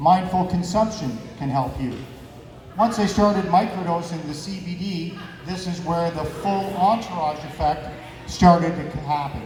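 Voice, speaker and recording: A man talks loudly in a high voice at a fairly slow pace with ordinary pitch variation. Audible room echo and noticeable background noise fill the recording. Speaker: cannabis advocate and martial arts instructor. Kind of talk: event talk.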